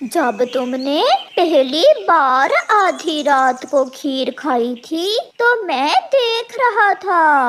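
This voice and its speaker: This cartoonish character voice stays high in pitch and moves at a very slow pace. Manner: sly, cheeky.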